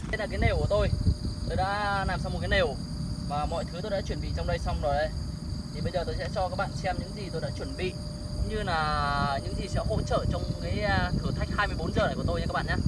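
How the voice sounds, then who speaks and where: A man speaks at a fairly quick pace. Loud background noise runs behind him. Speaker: outdoor challenge vlogger. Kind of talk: casual vlog chat. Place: open country. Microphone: camera far.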